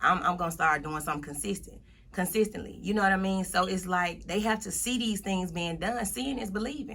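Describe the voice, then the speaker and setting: Vocal fry and a bright, sharp tone at a fairly quick pace, with ordinary pitch variation. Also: woman, medium pitch for a woman. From US South. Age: 30s. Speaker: motivational speaker. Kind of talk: interview. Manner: casual.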